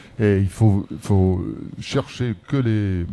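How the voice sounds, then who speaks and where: A man speaks at a fairly low pitch with ordinary pitch variation. His tone is dark and mellow. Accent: English. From England. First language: English (speaking French). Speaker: former rugby player; guest. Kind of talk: casual chat. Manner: halting. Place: studio. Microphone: handheld.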